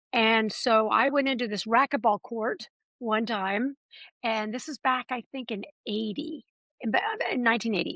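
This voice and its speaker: A woman's fairly high voice with an American accent and a bright, sharp tone, ordinary pitch variation, moderate pace, and a dry, close sound with no echo. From California. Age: 60s. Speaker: fitness instructor. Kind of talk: interview.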